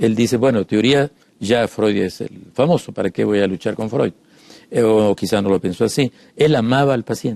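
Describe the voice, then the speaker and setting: Dry and close with no echo, this recording captures a man with a fairly low pitch. His tone is dark and mellow, with ordinary pitch variation. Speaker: psychoanalyst. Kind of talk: casual chat. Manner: fast.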